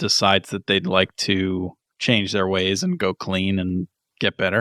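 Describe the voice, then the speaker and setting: Recorded very cleanly against a silent background, a man speaks at a fairly slow pace with fairly even intonation, in a dry, close sound with no echo. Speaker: podcast co-host. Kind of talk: casual chat.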